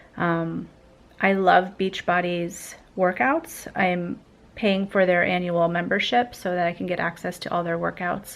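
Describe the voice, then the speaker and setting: Her pitch fairly low and her intonation fairly even, a woman speaks at a fairly slow pace. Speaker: vlogger. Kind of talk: vlog. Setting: at home at night. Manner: soft-spoken; hesitant, many fillers.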